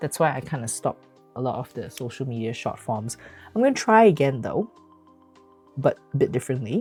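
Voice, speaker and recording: With music in the background, a woman speaks with a Malaysian accent in a very deep, low pitch, at a moderate pace and with lively intonation. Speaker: physician and streamer. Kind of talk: casual live stream talk.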